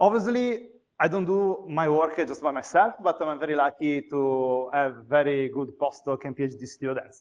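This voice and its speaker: The speaker has an Italian accent and a moderate pace. The intonation is lively. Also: man. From Italy. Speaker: university lecturer. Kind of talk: conference talk. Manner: hesitant, many fillers.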